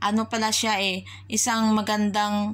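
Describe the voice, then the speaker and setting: Speaking at a fairly slow pace, a woman keeps a medium pitch and a monotone, flat intonation. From Philippines. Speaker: overseas worker vlogger. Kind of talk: opinion vlog monologue. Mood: somber, sad reflection. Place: home room. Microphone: phone near.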